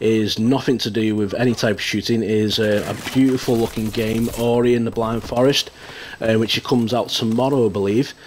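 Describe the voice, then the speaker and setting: Amid noticeable background noise, a man talks in a monotone, flat intonation at a moderate pace. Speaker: gaming youtuber. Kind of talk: casual vlog.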